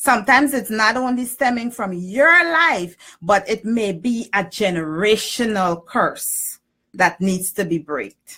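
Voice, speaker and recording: With a normal speaking voice, a woman talks at a fairly slow pace and a fairly high pitch with lively intonation. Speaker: spiritual energy practitioner. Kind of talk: live stream talk. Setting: live online broadcast.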